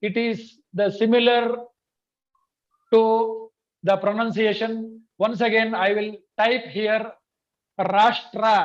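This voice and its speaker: A very slow, monotone delivery with flat intonation, a Kannada accent, and long, frequent pauses. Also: man, high pitch for a man. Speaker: language teacher. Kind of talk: online training session. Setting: video call.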